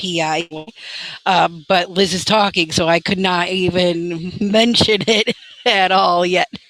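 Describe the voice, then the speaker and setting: A woman's medium-pitched, fairly even voice at a very slow pace, dry and close with no echo, amid noticeable background noise. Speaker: podcast co-host. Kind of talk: live podcast chat.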